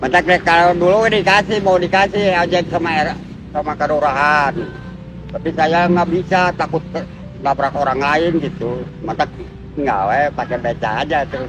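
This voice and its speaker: There is noticeable background noise as a man talks. His pitch is high and its variation is ordinary. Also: moderate pace. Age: old. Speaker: pedicab driver. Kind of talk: interview. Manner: halting.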